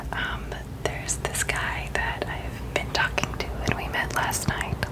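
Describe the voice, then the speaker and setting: A whispered voice moves at a fairly slow pace over noticeable background noise. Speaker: ASMR content creator. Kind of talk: soft whispered ramble about personal life, ASMR. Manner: whispered, soft-spoken, casual.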